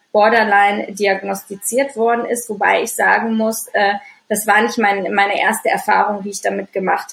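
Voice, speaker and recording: A woman's medium-pitched voice holds a monotone, flat intonation throughout. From Düsseldorf, Germany. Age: 30s. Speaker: anxiety and stress coach. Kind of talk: interview, personal life story. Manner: many filler sounds, hesitant.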